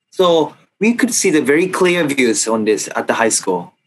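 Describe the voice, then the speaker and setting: A man with a Japanese accent, high-pitched, at a moderate pace with very wide pitch swings. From Japan, Kanagawa. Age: 20s. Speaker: former high school kendo athlete, finance worker; interview guest. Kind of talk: interview. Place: home room. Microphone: video call.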